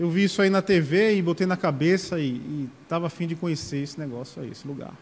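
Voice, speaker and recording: In a Paraíba accent, a man speaks fairly quickly in a high voice with ordinary pitch variation. The recording is very clean, with a silent background. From Sapé, Paraíba, Brazil. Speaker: deacon preacher. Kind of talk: sermon.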